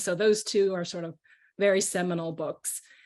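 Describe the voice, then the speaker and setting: A woman talks with a Chinese accent at medium pitch and a moderate pace. Her pitch variation is ordinary, and the background is quiet. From Caracas, Venezuela (American school). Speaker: children's author. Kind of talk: panel discussion. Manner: hesitant, many fillers.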